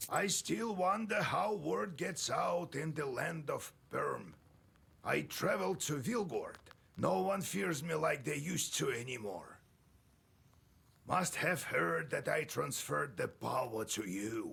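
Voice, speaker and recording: A man uses a put-on character voice that is raspy and fairly high-pitched. He speaks at a fairly slow pace. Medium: machinima. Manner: gruff, storytelling.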